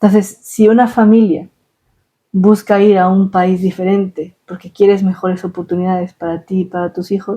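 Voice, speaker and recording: Somewhat breathy and dark, mellow in tone, a woman's medium-pitched voice moves at a fairly slow pace with fairly even intonation. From Ecuador. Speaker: scientific publications specialist. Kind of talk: interview answer. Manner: hesitant.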